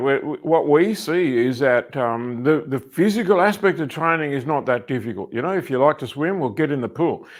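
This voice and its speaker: This man talks at a fairly quick pace with hardly any pauses, his pitch fairly high. He has an Australian accent and lively intonation. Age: 70s. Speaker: personal development coach. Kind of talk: interview.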